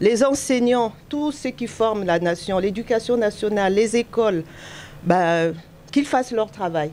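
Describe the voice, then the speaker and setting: A woman with a fairly high pitch talks at a fairly slow pace with lively intonation in an ordinary speaking voice. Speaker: voter. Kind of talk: vox pop interview.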